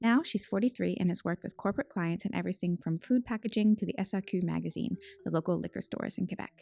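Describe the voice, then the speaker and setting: Speaking very fast at a medium pitch, a woman shows vocal fry and a dark, mellow tone, captured dry and close with no echo on a very clean recording with a silent background. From Newfoundland, Canada. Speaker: podcast host. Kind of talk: scripted narration.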